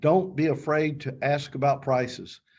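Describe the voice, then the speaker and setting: This man's voice is somewhat breathy. His pitch is fairly high. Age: 60s. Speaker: funeral and cemetery planner. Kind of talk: webinar presentation. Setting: online webinar.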